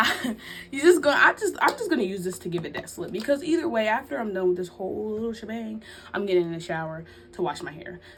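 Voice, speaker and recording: At a very fast pace, a woman with a fairly high pitch talks with very wide pitch swings and big swings in loudness over noticeable background noise. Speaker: YouTuber, lifestyle vlogger. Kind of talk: story time vlog, casual chat. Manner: soft-spoken, quiet for the baby; rambling, halting with fillers.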